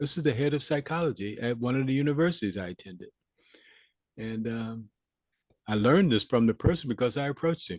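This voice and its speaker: At a very fast pace broken by long, frequent pauses, a man speaks at a medium pitch in a dry, close sound with no echo. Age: 70s. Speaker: war veteran and leadership teacher. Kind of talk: interview. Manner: halting, many fillers and repetitions.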